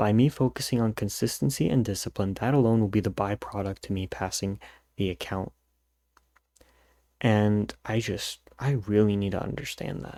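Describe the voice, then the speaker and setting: This man has a fairly low, dark, mellow voice, recorded with a dry, close sound and no echo. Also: ordinary pitch variation, moderate pace. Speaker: futures trader video journaler. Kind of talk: personal video journal monologue. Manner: halting, stuttering.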